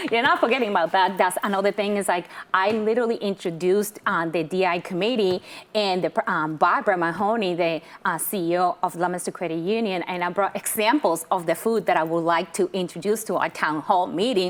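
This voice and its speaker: This woman talks at a fairly quick pace with a Puerto Rican accent. Her pitch is medium, with ordinary variation. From Puerto Rico, moved to Massachusetts at ten. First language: Spanish. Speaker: credit union relationship manager. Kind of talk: interview.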